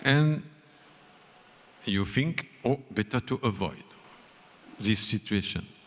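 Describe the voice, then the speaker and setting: Long, frequent pauses break up a man's very slow speech. His pitch is medium, with lively intonation. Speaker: spiritual leader giving a seminar lecture. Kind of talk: seminar lecture delivered with simultaneous interpretation. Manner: slow, deliberate, paced for an interpreter.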